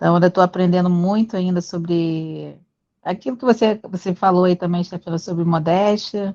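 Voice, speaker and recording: A woman speaks at a moderate pace in a Rio de Janeiro accent, her medium-pitched voice dark and mellow. Her intonation stays fairly even over a quiet background. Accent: carioca. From Brazil, Rio de Janeiro. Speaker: physical education teacher, study group member. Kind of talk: casual self-introduction in group video call.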